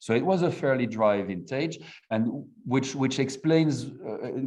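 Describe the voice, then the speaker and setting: This man speaks with a French accent. His tone is dark and mellow, with ordinary pitch variation. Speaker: wine producer. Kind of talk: interview. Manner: halting.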